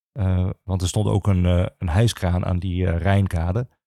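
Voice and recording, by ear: A man's low, dark, mellow voice with vocal fry and little pitch movement, at a moderate pace, on a very clean recording with a silent background.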